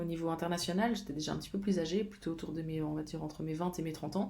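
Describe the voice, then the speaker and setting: A woman speaks at a very fast pace. Background noise is noticeable and room echo audible. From Switzerland, Geneva. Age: 30s. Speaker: fitness coach. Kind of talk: casual vlog talk. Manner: halting, many fillers.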